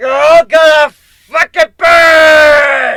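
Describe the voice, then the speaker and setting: Shouting in a put-on character voice, a man hits an extremely high pitch. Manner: shouting, hostile.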